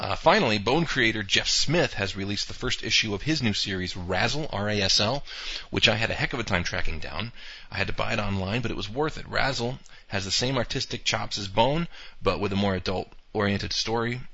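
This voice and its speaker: In an American accent, the speaker has an unremarkable speaking voice and talks at a fairly quick pace with lively intonation. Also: man, fairly low pitch for a man. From US Northeast (Poughkeepsie, New York). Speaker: webcomic creator and podcast host. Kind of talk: solo podcast monologue. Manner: casual, with filler words.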